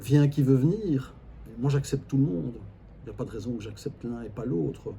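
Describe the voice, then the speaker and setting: A man's medium-pitched, dark and mellow voice with vocal fry, a fairly quick pace, lively intonation and big swings in loudness. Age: 60s. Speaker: family constellation facilitator. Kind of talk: interview. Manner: hesitant, repeats words.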